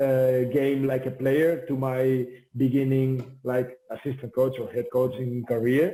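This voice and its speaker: A man's medium-pitched, monotone, flat delivery at a fairly slow pace, with a Spanish accent. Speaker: volleyball head coach. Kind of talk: interview. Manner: halting with many fillers.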